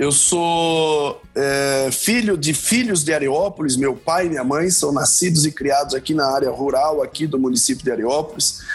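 Against noticeable background noise, a man with a fairly high pitch talks at a very even loudness, hardly pausing, his pitch varying in an ordinary way. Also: moderate pace. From Brazil, interior of São Paulo state. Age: 40s. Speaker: mayor and political candidate. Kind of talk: political interview.

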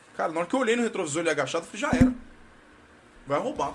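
A man talks with very wide pitch swings. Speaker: podcast host. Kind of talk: casual chat. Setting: studio. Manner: animated.

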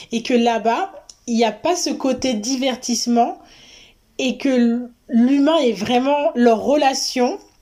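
A woman with a high pitch and a dark, mellow tone speaks very slowly with long, frequent pauses and ordinary pitch variation. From Paris region, France. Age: 30s. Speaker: traveller, wwoofer. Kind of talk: interview, casual chat.

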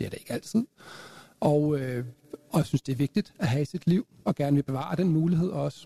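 The man's pitch sits fairly high, with ordinary variation. He talks at a moderate pace, and the sound is dry and close with no echo. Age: 50s. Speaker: counselling manager, panelist. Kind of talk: panel debate. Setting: live event with audience.

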